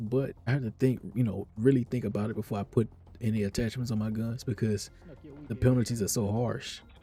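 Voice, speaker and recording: A man talks at a very fast pace. His voice is somewhat breathy, with fairly even intonation. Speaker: gamer. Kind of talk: casual talk to camera.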